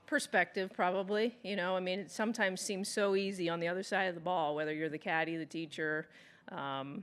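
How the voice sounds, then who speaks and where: With an American accent, a woman talks at a fairly quick pace and a medium pitch, her pitch varying normally against a quiet background. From Texas. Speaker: professional golfer and golf instructor. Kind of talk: press conference. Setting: press conference room. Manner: casual, halting with fillers.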